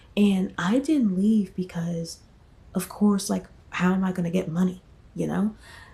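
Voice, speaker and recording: Soft-spoken and somewhat breathy, a woman with an American accent talks at a fairly slow pace, her medium-pitched voice dark and mellow in tone. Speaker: vlogger. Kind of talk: casual vlog storytelling. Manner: hesitant, many fillers.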